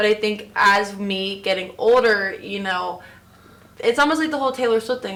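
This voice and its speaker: A woman with an American accent speaks at a fairly quick pace and a medium pitch. Background noise is noticeable. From Florida; Orlando area. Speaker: singer. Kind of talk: interview answer. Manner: casual, hesitant.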